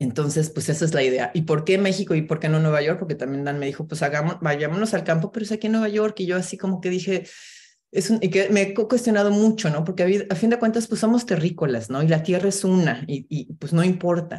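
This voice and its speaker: Very fast and lively, a woman speaks with a fairly low pitch and a dark, mellow, somewhat breathy tone. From Mexico City. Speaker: filmmaker and TV producer. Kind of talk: casual interview chat.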